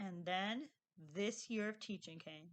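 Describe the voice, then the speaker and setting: A woman with an American accent, bright and sharp, at a fairly slow pace. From Northeast Wisconsin. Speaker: teacher and video blogger. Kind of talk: casual vlog monologue.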